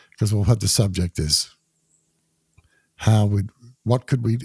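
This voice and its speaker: The voice is somewhat breathy with a dark, mellow tone, moving at a moderate pace in a very clean recording with a silent background and a dry, close sound with no echo. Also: man. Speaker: podcast guest. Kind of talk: casual chat.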